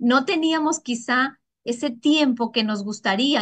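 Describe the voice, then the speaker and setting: A woman speaks against a quiet background. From Ecuador. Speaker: network marketing distributor; presenter. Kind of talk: sales pitch. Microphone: video call.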